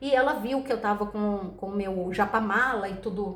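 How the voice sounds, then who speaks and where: A soft-spoken woman with an animated tone. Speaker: tarot reader. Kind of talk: casual chat.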